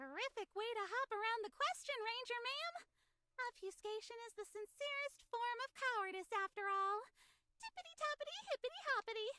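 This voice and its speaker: A put-on character voice, squeaky and extremely high in pitch, runs at a fairly quick pace. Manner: playful, rhyming wordplay.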